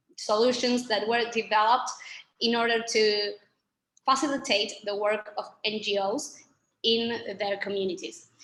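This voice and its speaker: With a Spanish accent, a woman speaks at a fairly slow pace in a fairly high, bright, sharp tone with fairly even intonation. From Argentina. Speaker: communications manager for a nonprofit. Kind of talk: webinar presentation.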